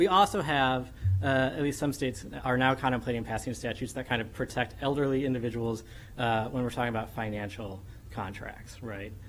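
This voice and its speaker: Using ordinary pitch variation, a medium-pitched man talks at a fairly quick pace, with audible room echo around him. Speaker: law professor. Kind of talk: academic conference presentation. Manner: fast; animated.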